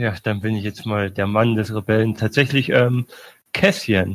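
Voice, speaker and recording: This man has a plain, everyday voice at a medium pitch. He speaks at a fairly slow pace. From Bavaria, Munich. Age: 20s. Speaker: postman, podcast community member. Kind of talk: casual chat.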